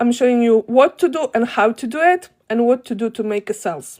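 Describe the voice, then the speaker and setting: A woman with a Polish accent talks at a fairly quick pace and a fairly high pitch, using ordinary pitch variation, the sound dry and close with no echo. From Poland. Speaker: online business teacher, live streamer. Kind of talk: live stream tutorial. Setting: live video stream. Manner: animated.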